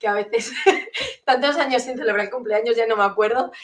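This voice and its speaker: A woman talks at a fairly quick pace in a normal speaking voice. Her pitch sits fairly high. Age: 30s. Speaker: entrepreneur and transformation coach. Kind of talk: interview conversation.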